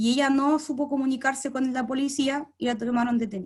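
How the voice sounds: Her pitch high and her intonation fairly even, a woman speaks. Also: slightly mellow tone.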